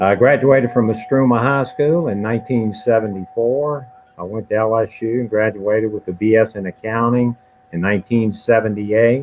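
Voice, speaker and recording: A man's medium-pitched voice with a Louisiana accent, fairly even intonation and noticeable background noise. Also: moderate pace. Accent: Louisiana Southern US. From Louisiana, Baton Rouge. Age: 60s. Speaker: judge, candidate. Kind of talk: candidate introduction at forum.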